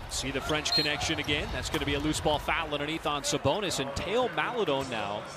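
A man talks at a very fast pace with hardly any pauses, lively intonation and a fairly high pitch. Noticeable background noise runs underneath. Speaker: play-by-play basketball announcer. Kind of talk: live play-by-play sports commentary on an NBA game. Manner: rapid-fire, clipped calls that track each possession; bursts into excited exclamations on big plays.

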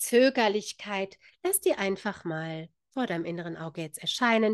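Over a quiet background with a dry sound and no echo, a woman speaks at a fairly slow pace with lively intonation. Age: 50s. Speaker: spiritual author and channel host; spiritual coach. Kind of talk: casual vlog monologue; guided meditation. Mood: warm, calm. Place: home room. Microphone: studio mic.

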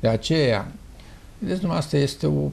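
A man speaks at a very slow pace. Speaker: dermatologist, professor. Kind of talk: interview answer. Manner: slow, emphatic. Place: office. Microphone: lapel.

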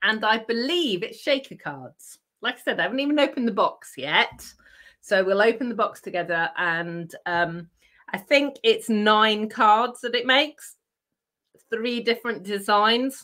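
Against a quiet background, a woman with a British accent speaks fairly slowly at a fairly high pitch. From UK. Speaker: craft channel host. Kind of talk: casual chat with crafting demo. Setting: live stream from home craft room. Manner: chatty, with frequent laughs. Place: home room.

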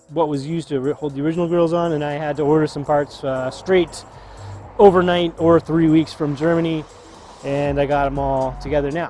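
A man at a moderate pace, monotone and flat in intonation, with a dry sound with no echo and faint music in the background. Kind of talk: casual vlog chat. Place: garage.

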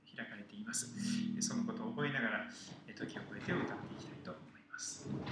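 A man at a fairly quick pace with audible room echo and loud background noise. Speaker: host. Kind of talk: sermon-like song introduction. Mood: calm, earnest. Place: cafe.

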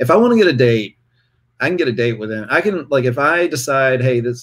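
At a very fast pace, a man talks in a medium pitch with lively intonation. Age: 40s. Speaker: interview guest sharing dating experiences; interview guest. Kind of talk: casual interview. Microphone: video call.

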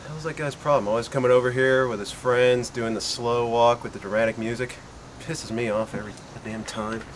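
Over clear background noise, a man puts on a rumbling character voice at a medium pitch, with fairly even intonation and a fairly quick pace. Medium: comedy sketch. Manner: grumbling, exasperated, swearing.

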